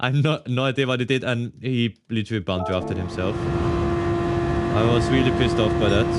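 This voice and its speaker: With a German accent, a man with a fairly low pitch talks at a moderate pace with hardly any pauses and very wide pitch swings. Noticeable background noise is present. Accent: German-speaking accent in English. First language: German (Austrian dialect). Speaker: sim racing streamer. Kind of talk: live gameplay commentary. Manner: casual, switching between English and German.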